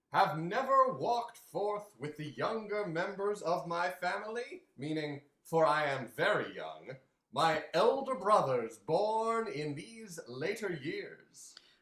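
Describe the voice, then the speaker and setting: A put-on character voice with a warm tone sits at a middle pitch. It moves at a fairly slow pace with a slight echo. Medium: read story. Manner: hearty, warm, expansive.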